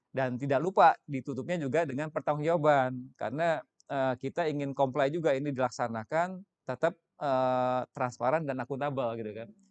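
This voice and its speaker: A man with a plain, everyday voice, fairly high-pitched, at a fairly quick pace with ordinary pitch variation, dry and close with no echo against a quiet background. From West Java, Indonesia. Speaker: senior government finance official. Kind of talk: interview explanation. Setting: studio.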